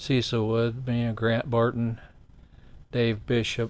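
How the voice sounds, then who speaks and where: A man in a Midwestern American accent, medium-pitched and monotone, with flat intonation. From Ohio, US Midwest. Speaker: host's father, guest. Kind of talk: interview storytelling.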